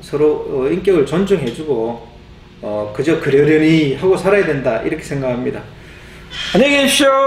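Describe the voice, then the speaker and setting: A man's fairly high voice with lively intonation at a moderate pace, with audible room echo and light background noise. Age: 40s. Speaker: YouTuber. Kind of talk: monologue to camera. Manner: halting, many fillers. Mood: reflective, lightly joking. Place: home room.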